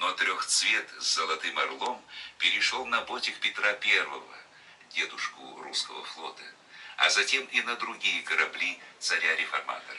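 Noticeable background noise sits under this recording. The man speaking talks fairly slowly. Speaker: broadcast announcer. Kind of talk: historical documentary narration. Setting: studio recording made in 2001.

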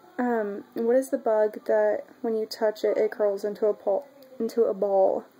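Music plays in the background while a woman talks at a fairly high pitch. Her intonation is fairly even and her pace fairly slow. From Oklahoma, US. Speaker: vlogger. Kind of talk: casual talk to camera. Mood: shy, giggly. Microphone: webcam.

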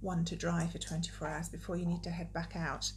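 A woman speaks at a fairly quick pace over light background noise. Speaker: knitting video podcaster. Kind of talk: casual vlog chat. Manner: hesitant with frequent ums. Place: home room. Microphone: phone near.

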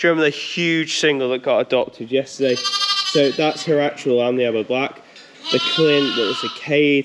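At a moderate pace, a man talks while loud background noise carries on. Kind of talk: casual vlog chat. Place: farm machine. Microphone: phone near.

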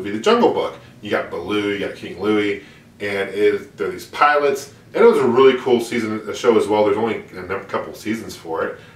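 With big swings in loudness and audible room echo, a man talks at a fairly quick pace. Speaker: retro cartoon vlogger. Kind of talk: casual vlog chat.

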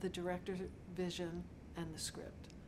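A woman with an American accent at a medium pitch and moderate pace, with noticeable background noise. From Pittsburgh, Pennsylvania. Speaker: set decorator. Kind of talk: interview monologue. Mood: warm, reflective. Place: office.

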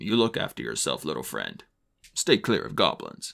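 A man does a put-on character voice with a raspy quality. He talks at a moderate pace. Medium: read story.

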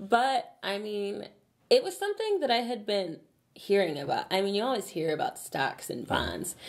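The background is kept quiet. Against it, a woman talks at a moderate pace. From Chicago. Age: 20s. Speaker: YouTuber; channel host. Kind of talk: casual chat. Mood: cheerful, relaxed. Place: office.

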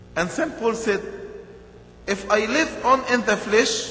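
The pace is very slow and the pitch varies in an ordinary way. Room echo is audible. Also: man. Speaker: bishop. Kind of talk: sermon. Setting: church. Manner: earnest, rhythmic preaching; repeats key phrases for emphasis. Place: church. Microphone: podium.

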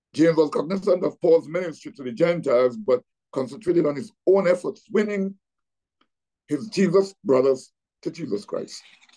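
Against a quiet background, a man with a high pitch and a dark, mellow tone talks at a moderate pace, his loudness swinging widely. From Trinidad and Tobago. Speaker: pastor. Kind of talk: Bible teaching. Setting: video call. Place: home room. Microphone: video call.

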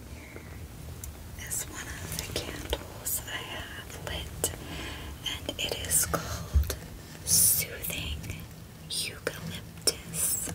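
The voice whispers. It goes at a very slow pace. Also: woman. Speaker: ASMR-style show-and-tell host. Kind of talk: soft casual show-and-tell. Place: home room. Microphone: studio mic.

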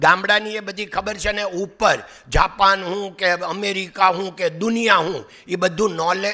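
A man projects his raised voice at a high pitch with a bright, sharp tone. His intonation stays monotone and flat against a quiet background. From Saurashtra, Gujarat (Amreli district); Gujarat, India. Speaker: diamond businessman; guest lecturer. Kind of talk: motivational talk. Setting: college auditorium with audience. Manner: conversational. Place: hall. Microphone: podium.

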